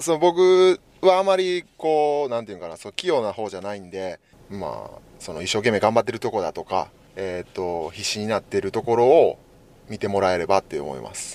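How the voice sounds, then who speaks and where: With a Kansai accent, a man speaks at a fairly quick pace and a medium pitch, with very wide pitch swings and big swings in loudness, in a dry, close sound with no echo. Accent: Kansai Japanese. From Japan, Wakayama. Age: 30s. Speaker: professional basketball player. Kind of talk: interview.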